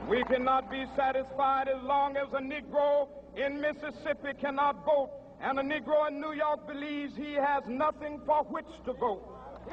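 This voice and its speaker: With noticeable background noise behind him, a man with an American accent and an extremely high pitch speaks at a moderate pace in a monotone, flat intonation with hardly any pauses. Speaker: minister. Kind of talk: political speech at a mass rally. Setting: outdoors, PA system. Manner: rousing oratory.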